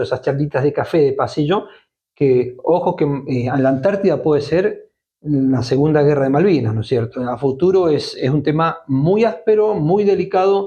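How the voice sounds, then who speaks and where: This man's voice is fairly high in pitch yet dark and mellow in tone. It is also somewhat breathy. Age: 60s. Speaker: Malvinas commemoration activist. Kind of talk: interview conversation.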